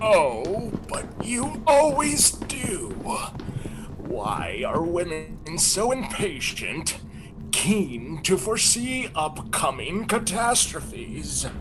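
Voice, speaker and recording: A man puts on a character voice at a high pitch. He speaks at a very slow pace over loud background noise. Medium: stage play. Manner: condescending, calm.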